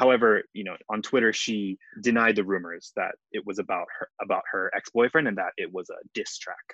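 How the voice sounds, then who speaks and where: A man with an American accent talks at a moderate pace with hardly any pauses, in a dry, close sound with no echo. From Hawaii. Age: 20s. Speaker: English teacher. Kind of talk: casual chat. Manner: hesitant, many fillers.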